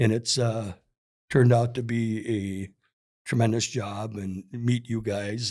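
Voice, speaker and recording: A man with an Upper Midwest accent speaks in a dark, mellow tone with monotone, flat intonation at a fairly slow pace. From Minnesota. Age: 60s. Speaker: hockey store employee. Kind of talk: casual chat. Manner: halting.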